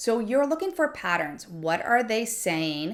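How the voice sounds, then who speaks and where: On a very clean recording with a silent background, a woman takes a fairly slow pace. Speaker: middle school science teacher. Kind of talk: tutorial. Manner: animated.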